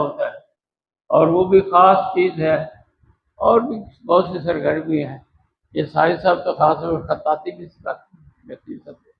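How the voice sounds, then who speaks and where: A man with a high-pitched voice shows big swings in loudness. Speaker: school director and professor giving a speech at a ceremony. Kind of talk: formal ceremony speech about education.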